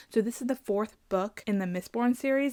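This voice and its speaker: A woman's fairly high-pitched voice at a fairly quick pace. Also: dry, close sound with no echo. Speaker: book content creator. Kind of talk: casual video monologue. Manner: fast; animated.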